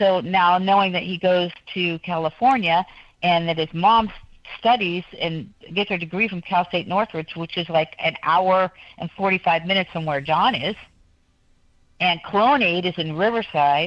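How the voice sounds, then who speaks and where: A woman is speaking in a normal speaking voice. Her pitch varies in an ordinary way. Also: fairly low pitch for a woman. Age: 60s. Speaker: guest. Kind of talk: talk show interview. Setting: studio. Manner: fast.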